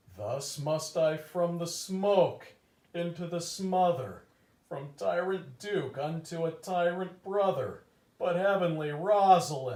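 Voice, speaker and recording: Using a high-pitched, put-on character voice, a man speaks at a fairly slow pace with a slight echo. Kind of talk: mock-Shakespearean comic overacting. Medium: stage play. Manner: earnest, theatrical.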